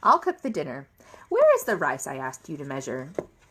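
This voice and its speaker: Putting on a character voice, a woman speaks with a very deep, low pitch at a fairly quick pace, her loudness swinging widely. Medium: read story.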